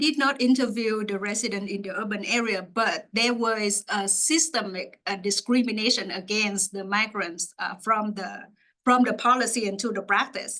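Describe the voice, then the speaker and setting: A woman with a Vietnamese accent, fairly high in pitch, at a moderate pace with ordinary pitch variation. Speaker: graduate student researcher. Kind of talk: Q&A after a research talk. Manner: halting, many fillers.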